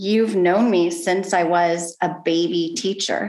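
This woman has a plain, everyday voice, fairly low in pitch, with ordinary pitch variation. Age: 40s. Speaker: education nonprofit CEO. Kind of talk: casual interview.

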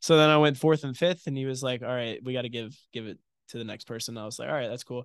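A man with an American accent talks at a very fast pace in a medium pitch, his loudness swinging widely against a quiet background. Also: ordinary pitch variation. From New York (Somers, Westchester County). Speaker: college baseball pitcher. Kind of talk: interview. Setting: studio.

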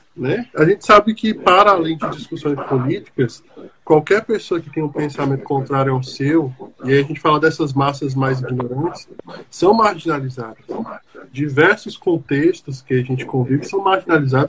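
In a plain, everyday voice, a man speaks at a moderate pace with a fairly high pitch and ordinary pitch variation. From Brazil, Brasília. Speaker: podcast host, psychologist. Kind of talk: casual discussion.

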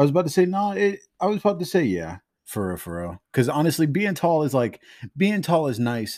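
A man talks at a fairly quick pace in a fairly high voice, his pitch swinging very widely. The recording is very clean, with a silent background. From Los Angeles. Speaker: podcast co-host. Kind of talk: casual chat. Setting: at home in the kitchen.

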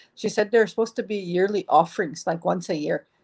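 A woman's unremarkable speaking voice, medium in pitch, with ordinary pitch variation. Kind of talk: elder telling life story. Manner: gentle, reverent, laughs as she tells.

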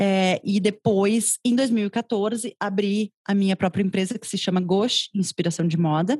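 A woman speaks at a fairly slow pace with hardly any pauses, her voice somewhat breathy and medium in pitch. Her intonation stays fairly even, and the sound is dry and close with no echo. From southern Brazil, Rio Grande do Sul (Porto Alegre). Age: 30s. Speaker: fashion journalist and consultant. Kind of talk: interview conversation. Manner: talkative, long flowing answers.

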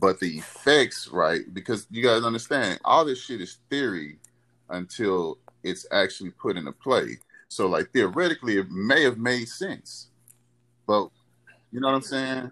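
With a Houston accent and some vocal fry, a man speaks at a medium pitch with lively intonation in a very clean recording over a silent background. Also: moderate pace. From Houston, Texas. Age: 30s. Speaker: former pro football player, military veteran. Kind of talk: casual chat.

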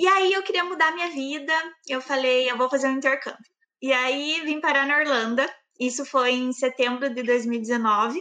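Projecting her voice, a woman speaks at a moderate pace in a high pitch with a bright, sharp tone. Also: ordinary pitch variation. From southern Brazil, Campo Largo near Curitiba, Paraná. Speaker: engineer. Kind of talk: interview. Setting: live stream.

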